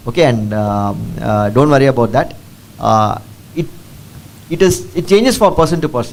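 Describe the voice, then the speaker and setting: A man speaks with a Keralan accent at a very fast pace. His intonation is lively. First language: Malayalam. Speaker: district collector, civil servant. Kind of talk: Q&A session with school students. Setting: school assembly with student audience. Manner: code-switching English and Tamil; halting, many fillers.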